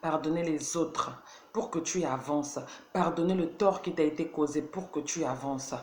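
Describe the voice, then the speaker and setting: Against noticeable background noise, a woman talks at a fairly slow pace in a very deep, low pitch with ordinary pitch variation. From Burkina Faso, Ouagadougou. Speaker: motivational video host. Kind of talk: motivational talk. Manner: halting, searching for words.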